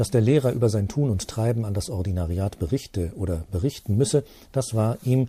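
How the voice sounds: The voice heard here is a natural reading voice.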